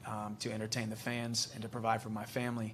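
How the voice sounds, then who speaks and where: In an American accent, a man talks at a very fast pace and medium pitch, his intonation monotone and flat. Room echo is audible. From United States. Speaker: MMA fighter. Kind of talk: press conference. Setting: press conference.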